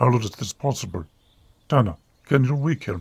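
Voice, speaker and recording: A man speaks in a put-on character voice. His pitch is medium and his pace moderate. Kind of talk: read story. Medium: read story. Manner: soft-spoken.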